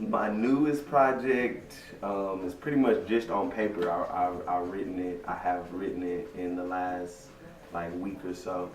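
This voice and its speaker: A man speaks at a fairly slow pace with a fairly low pitch. Room echo is audible and background noise is noticeable. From Texas (Waco), born in Louisiana. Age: 20s. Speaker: rapper. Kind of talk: interview. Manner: casual, laid-back.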